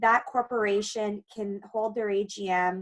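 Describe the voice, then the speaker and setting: An unremarkable speaking voice from a woman with a Canadian accent, medium pitch and fairly even intonation. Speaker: condo lawyer. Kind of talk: webinar presentation.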